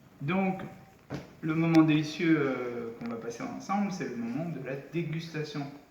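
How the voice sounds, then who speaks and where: Audible room echo and noticeable background noise surround the recording. A man talks at a fairly slow pace in a fairly high pitch, with ordinary pitch variation. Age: 40s. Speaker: cooking channel host. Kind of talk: cooking tutorial.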